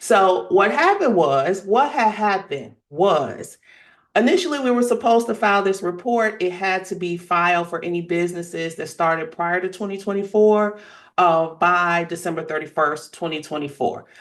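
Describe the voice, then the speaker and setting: A woman talks at a medium pitch with ordinary pitch variation and an animated tone. The background is quiet. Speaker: tax attorney and accountant. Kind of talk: webinar presentation. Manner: fast.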